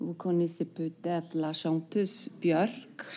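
The voice has a dark, mellow tone and an Icelandic accent. Its intonation stays fairly even at a very slow pace. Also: woman. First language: Icelandic (speaking French). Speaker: novelist. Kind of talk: interview. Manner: halting, many repetitions and fillers.

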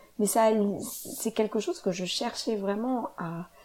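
Fairly slow and somewhat breathy, a woman speaks at a fairly high pitch with a dark, mellow tone. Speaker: yoga teacher and podcast host. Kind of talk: solo podcast monologue.

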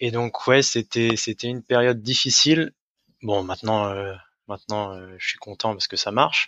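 Intonation stays fairly even as the speaker goes at a moderate pace. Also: man. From France, Brittany (Rennes). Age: 30s. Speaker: restaurant owner. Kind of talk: interview. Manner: hesitant, many fillers.

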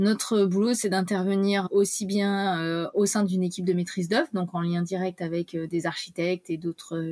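A woman's medium-pitched voice moves at a moderate pace, her intonation fairly even. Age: 30s. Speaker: engineer and company director. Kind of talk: interview. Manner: halting.

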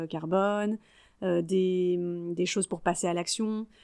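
Very slowly and with fairly even intonation, a woman speaks on a very clean recording with a silent background. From Paris region, France (Yvelines). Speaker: network coordinator, former primary school teacher. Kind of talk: casual interview.

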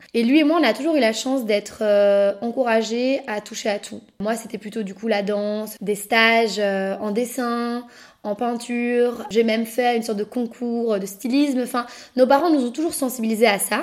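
This woman has an unremarkable speaking voice at fairly high pitch. She talks at a moderate pace with ordinary pitch variation. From Belgium, Brussels. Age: 20s. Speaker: podcast host and upcycling entrepreneur. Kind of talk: personal storytelling monologue.

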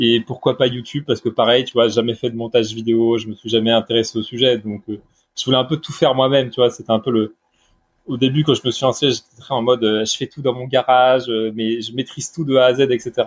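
The man's intonation is monotone and flat. He speaks at a fairly quick pace and a medium pitch. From Brittany, France. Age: 30s. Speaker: newsletter creator on sustainable finance. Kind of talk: casual interview.

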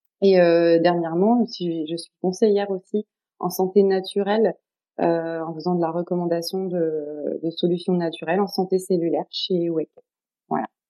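Speaking at a moderate pace, a woman keeps her fairly low-pitched voice to a fairly even intonation. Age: 40s. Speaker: social educator and wellness practitioner. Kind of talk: podcast interview. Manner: hesitant, many fillers.

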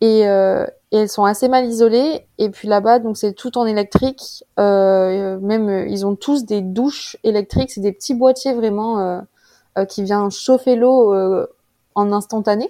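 In a quiet background, a woman with a dark, mellow tone and fairly high pitch speaks at a fairly slow pace with fairly even intonation. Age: 20s. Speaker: student cyclist adventurer. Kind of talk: interview, personal story. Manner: hesitant, with many fillers.

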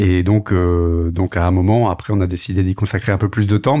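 With a plain, everyday voice, a man speaks at a moderate pace with fairly even intonation against a quiet background. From France, Tours. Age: 40s. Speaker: media entrepreneur. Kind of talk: interview.

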